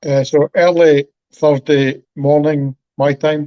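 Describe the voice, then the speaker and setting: With a slight Scottish accent, a man talks at a fairly high pitch in a monotone, flat delivery, his dark, mellow tone captured dry and close with no echo. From Scotland. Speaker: stroke survivor. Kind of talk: interview.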